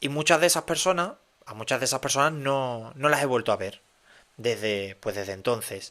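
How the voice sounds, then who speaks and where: This man's tone is bright and sharp, with an Andalusian accent. He talks at a moderate pace. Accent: Andalusian (Cádiz). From Cádiz, Andalusia, Spain. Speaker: podcast host. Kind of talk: casual monologue podcast. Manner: halting, many fillers and repetitions.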